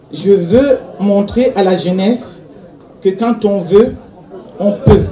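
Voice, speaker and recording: Amid crowd noise and audible room echo, a woman speaks very slowly at medium pitch with ordinary pitch variation. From Cameroon. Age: 60s. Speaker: author and poet. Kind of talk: award acceptance speech. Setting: stage with audience. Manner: halting.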